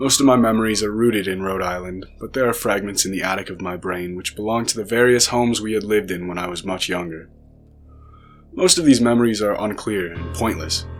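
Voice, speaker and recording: Music plays behind a man with a fairly low voice. His pitch varies in an ordinary way. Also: fairly quick pace. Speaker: narrator. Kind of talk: horror story narration.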